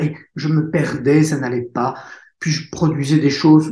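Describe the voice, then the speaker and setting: The man's voice is somewhat breathy with a dark, mellow tone. He talks at a fairly slow pace. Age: 60s. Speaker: author and speaker. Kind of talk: interview testimony. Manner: halting.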